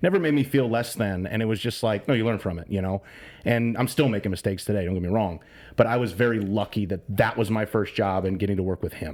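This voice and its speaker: Fairly low in pitch, a man speaks with an American accent. He talks at a very fast pace. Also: ordinary pitch variation. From northern Illinois, US. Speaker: sports radio host. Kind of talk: podcast interview. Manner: loud and excitable; conversational, with fillers.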